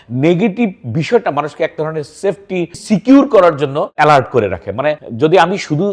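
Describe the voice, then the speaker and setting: This man's pitch is high. He talks with lively intonation. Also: quiet background. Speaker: psychiatrist. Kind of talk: educational talk to camera.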